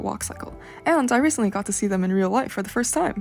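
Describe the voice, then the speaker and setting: Music plays in the background as a woman speaks. She goes at a very fast pace with lively intonation. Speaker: art student. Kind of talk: portfolio walkthrough narration. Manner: casual.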